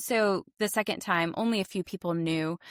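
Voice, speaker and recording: In an unremarkable speaking voice, a woman with an American accent talks at a moderate pace and medium pitch, with ordinary pitch variation and a dry, close sound with no echo, on a very clean recording with a silent background. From US South, Tennessee. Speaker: podcast guest. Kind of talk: interview.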